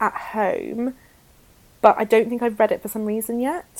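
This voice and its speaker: Speaking in a British accent, a woman talks at a moderate pace with a fairly high pitch. Background noise is noticeable. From rural area. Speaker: book podcast co-host. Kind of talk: casual chat.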